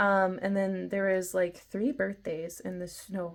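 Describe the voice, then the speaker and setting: A woman of medium pitch, an unremarkable speaking voice, fairly even intonation, very clean recording with a silent background. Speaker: journaling YouTuber. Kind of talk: casual show-and-tell video. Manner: chatty, many fillers.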